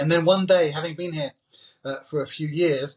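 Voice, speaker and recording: Speaking at a moderate pace with an English accent, a man keeps his fairly high pitch on fairly even intonation. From England. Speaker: sports TV presenter. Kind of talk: interview. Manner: hesitant, many fillers and repetitions.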